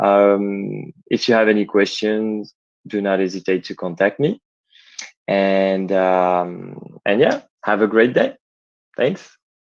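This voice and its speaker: Against a quiet background, a man with a French accent speaks very slowly at a fairly low pitch, with fairly even intonation and long, frequent pauses. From France. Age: 20s. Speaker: startup founder. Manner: halting. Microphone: connection may glitch.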